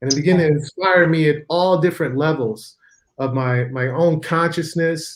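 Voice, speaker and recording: A man with an American accent talks at a moderate pace and a fairly high pitch for a man. He has an ordinary speaking voice. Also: ordinary pitch variation. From Chicago, US Midwest. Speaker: physician and spiritual author. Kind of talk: interview.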